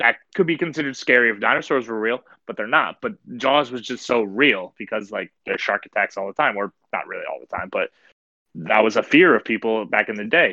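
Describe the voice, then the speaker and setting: A man speaks at a fairly quick pace with a medium pitch and ordinary pitch variation. His tone is bright and sharp, and the sound is dry and close, with no echo. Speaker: podcast co-host. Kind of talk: casual chat.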